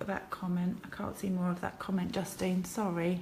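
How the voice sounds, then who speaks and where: A woman with an English accent is heard amid noticeable background noise and audible room echo. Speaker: card-making demonstrator. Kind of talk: crafting tutorial livestream. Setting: live video from her kitchen. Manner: chatty, hesitant with fillers.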